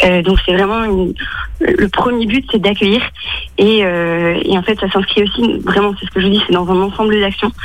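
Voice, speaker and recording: A woman speaks at a fairly slow pace with a medium pitch and fairly even intonation. Noticeable background noise runs under her voice. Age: 20s. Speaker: mathematics teacher and charity volunteer. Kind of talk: radio interview. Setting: phone call from home. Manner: hesitant, many fillers.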